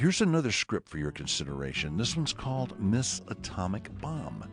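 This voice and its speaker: Music in the background behind a man with a fairly low pitch and very wide pitch swings. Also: fairly quick pace. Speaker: radio personality. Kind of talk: presentation narration.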